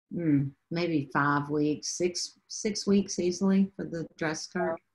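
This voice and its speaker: A woman with a fairly low pitch speaks very slowly, using ordinary pitch variation. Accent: Southern US. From Southeast Texas; Texas. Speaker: photographer; guest. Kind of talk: interview. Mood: calm, reflective. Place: home room. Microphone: webcam.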